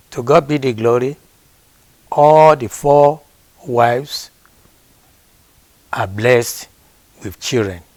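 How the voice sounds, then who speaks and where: At a very slow pace with long, frequent pauses, a man speaks with a Nigerian accent. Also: medium pitch for a man, ordinary pitch variation. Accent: Nigerian (Yoruba) English. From Nigeria, Osun State (Yoruba). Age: 70s. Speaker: grandfather being interviewed. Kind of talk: family interview. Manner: formal.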